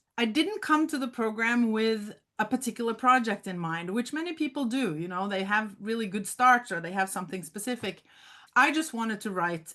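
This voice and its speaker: With a Norwegian accent, a woman talks at a moderate pace in a fairly high pitch, her tone bright and sharp and her intonation lively. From Norway, Oslo. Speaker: memoir author. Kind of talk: interview.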